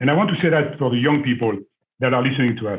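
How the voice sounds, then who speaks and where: Here a man speaks with a French accent. His intonation is lively. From France. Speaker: business school alumnus, former executive. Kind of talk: panel discussion.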